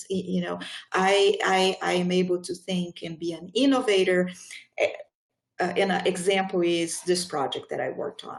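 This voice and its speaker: A woman of medium pitch, with a non-native accent, at a moderate pace. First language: not English. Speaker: public sector recruiter. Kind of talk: panel discussion.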